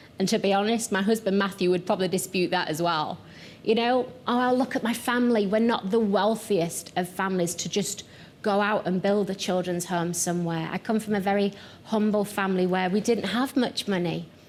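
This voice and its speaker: A woman with a strong Yorkshire accent keeps her loudness very even and her intonation fairly even. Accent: thick Yorkshire. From Yorkshire, northern England. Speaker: pastor and missions founder. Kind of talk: televised teaching talk.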